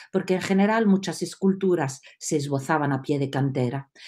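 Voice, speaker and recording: With an Italian accent, a woman with a fairly low pitch and a dark, mellow tone speaks at a moderate pace with lively intonation against a quiet background. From Italy, Rome. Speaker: storyteller. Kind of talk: storytelling. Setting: video call. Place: home room. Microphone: webcam.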